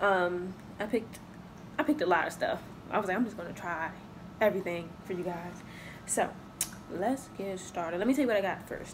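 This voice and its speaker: There is noticeable background noise as a woman talks at a moderate pace. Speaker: mukbang vlogger. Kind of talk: casual vlog chat. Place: home room. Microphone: phone near.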